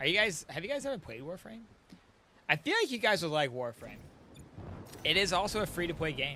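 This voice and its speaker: A man speaks at a fairly quick pace and high pitch with very wide pitch swings. Long, frequent pauses break up his speech. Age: 30s. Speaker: gaming streamer. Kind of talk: casual live stream chat. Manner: animated.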